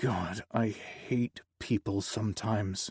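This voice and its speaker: A put-on character voice, growling and raspy, fairly slow and fairly even in intonation. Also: man, fairly low pitch for a man. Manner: growling, disgusted.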